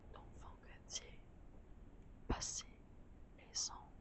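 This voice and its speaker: A woman whispers at a very slow pace. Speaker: student filmmaker. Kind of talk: poetry reading. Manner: whispered.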